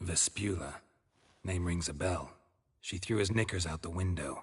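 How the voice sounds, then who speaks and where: A man uses a put-on character voice. His pitch is very deep and low. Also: moderate pace, quiet background. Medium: video game. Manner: terse, deadpan.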